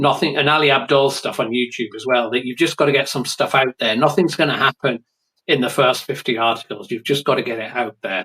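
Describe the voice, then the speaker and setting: A man with an English accent at medium pitch, fairly quick pace and ordinary pitch variation, with a dry, close sound and no echo. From England. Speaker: writer. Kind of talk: interview.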